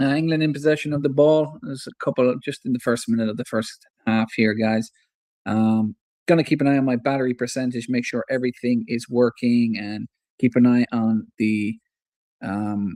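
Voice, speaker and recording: Speaking with an Irish Midlands accent, a man uses a dark, mellow tone at a moderate pace with fairly even intonation. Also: medium pitch for a man, dry, close sound with no echo. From Ireland, Athlone (Irish midlands). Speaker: football fan streamer. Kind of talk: live match commentary. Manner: casual, chatty with fillers.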